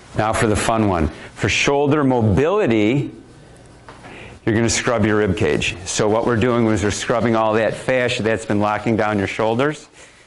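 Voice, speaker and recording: Noticeable background noise and audible room echo surround a man's speech. His loudness stays very even, with ordinary pitch variation. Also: medium pitch for a man, moderate pace. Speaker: speed coach presenter. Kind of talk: live workshop demo.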